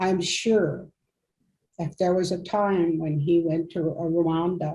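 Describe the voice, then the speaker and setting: A woman speaks at a very slow pace with a fairly low pitch and fairly even intonation. Her voice is somewhat breathy, with a dark, mellow tone. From Canada, Cree community. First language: Cree. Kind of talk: testimony.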